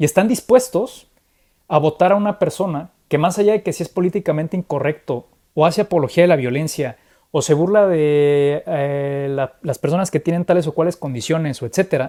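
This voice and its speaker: The speaker has a Mexican accent. The pace is moderate. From Mexico. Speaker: political commentator. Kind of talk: conversational political analysis. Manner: animated, with frequent repetitions.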